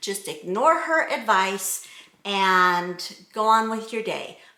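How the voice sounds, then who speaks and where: Amid audible room echo, a woman speaks fairly slowly in a bright, sharp tone. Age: 50s. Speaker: fashion vlogger. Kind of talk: casual style tutorial. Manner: chatty, rambling asides.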